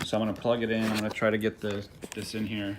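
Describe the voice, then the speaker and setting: There is noticeable background noise behind a man at a medium pitch. He talks at a very fast pace. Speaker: drone equipment seller. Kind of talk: product tutorial. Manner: hesitant, many fillers.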